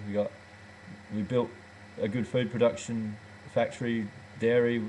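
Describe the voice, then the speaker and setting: With an Australian accent, a man talks at a moderate pace and medium pitch in a monotone, flat intonation. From rural Western Australia. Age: 30s. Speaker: goat dairy farmer. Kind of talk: casual webcam monologue. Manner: halting, many fillers.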